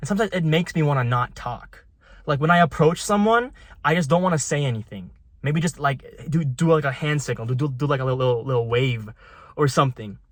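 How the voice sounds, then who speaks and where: A somewhat breathy man at a very fast pace with lively intonation, on a very clean recording with a silent background. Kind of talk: casual vlog talk to camera.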